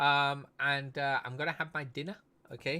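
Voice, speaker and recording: A man with an English accent speaks at a fairly high pitch and a moderate pace in a bright, sharp tone, captured in a very clean recording with a silent background. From United Kingdom. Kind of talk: casual live-stream chat. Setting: live stream.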